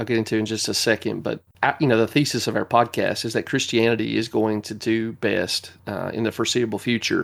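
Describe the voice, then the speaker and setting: A fairly quick man of medium pitch, with a Southern US accent and a monotone, flat intonation. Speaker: podcast host. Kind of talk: casual chat.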